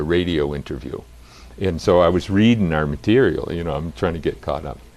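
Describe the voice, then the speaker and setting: Fairly quick speech with an American accent, vocal fry and ordinary pitch variation. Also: man. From Massachusetts. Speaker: college dean and gerontologist. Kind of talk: interview.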